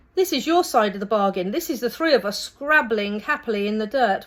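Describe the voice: Using a put-on character voice, a woman speaks fairly quickly at a fairly high pitch, with hissing in the audio.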